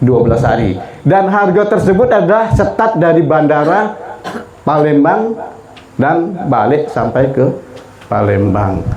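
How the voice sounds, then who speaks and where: The speaker moves at a fairly slow pace with long, frequent pauses, very wide pitch swings and very even loudness, amid noticeable background noise and audible room echo. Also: man, fairly high pitch for a man. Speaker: umrah tour guide and religious speaker. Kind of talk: speech at send-off gathering with sales pitch. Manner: casual, joking.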